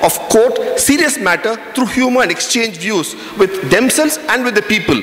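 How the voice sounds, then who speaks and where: Over noticeable background noise and audible room echo, a man with a Tamil accent talks at a moderate pace, his pitch extremely high and his intonation lively. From South India, Tamil Nadu. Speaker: panel speaker. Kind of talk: conference talk.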